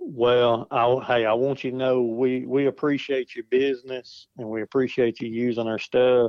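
Speaking at a moderate pace with hardly any pauses, a man holds a medium pitch in monotone, flat intonation. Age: 40s. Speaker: outdoor product design engineer. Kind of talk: casual interview chat.

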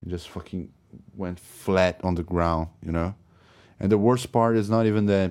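On a very clean recording with a silent background, a man with a Brazilian accent speaks at a moderate pace in a very deep, low voice with fairly even intonation. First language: Portuguese. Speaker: podcast host. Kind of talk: solo off-the-cuff monologue about albums. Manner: halting, rambling, with many filler words and restarts.

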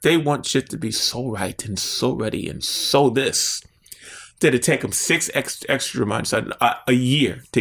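Speaking with vocal fry, a man uses a fairly high pitch and an animated tone. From Baltimore, Maryland (inner city). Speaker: visual artist. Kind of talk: interview. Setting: artist's studio.

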